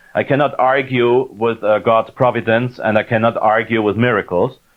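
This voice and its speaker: A man with a German accent, at a fairly slow pace. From Austria. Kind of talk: lecture; Q&A answer. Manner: halting, many fillers.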